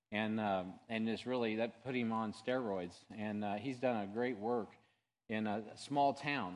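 A man with a Midwestern US accent, medium pitch, fairly slow pace and fairly even intonation. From Missouri, Sibley. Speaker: pastor. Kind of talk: church announcements. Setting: church. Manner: casual.

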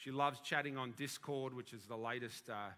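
A man with an Australian accent speaks at a medium pitch with ordinary pitch variation and a bright, sharp tone. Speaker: senior minister. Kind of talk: sermon. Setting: church.

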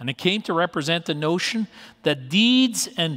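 A woman with a very deep, low voice talks at a fairly slow pace, her pitch swinging very widely. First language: not English. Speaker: pastor. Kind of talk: sermon. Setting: church.

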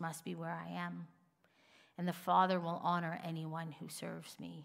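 Room echo is audible around the woman. She keeps a moderate pace. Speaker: pastor. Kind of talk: sermon.

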